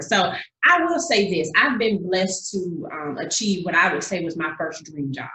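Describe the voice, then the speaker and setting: With a Southern accent, a woman speaks at medium pitch, with audible room echo. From Georgia, US South (Augusta). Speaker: singer-songwriter. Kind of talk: interview.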